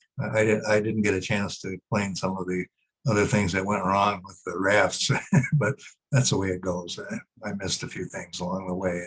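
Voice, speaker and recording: The speaker has an Upper Midwest accent. The pace is moderate and the intonation fairly even. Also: man, fairly low pitch for a man. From northern Wisconsin. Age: 80s+. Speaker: retired history teacher. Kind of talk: Q&A after a webinar talk. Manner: halting.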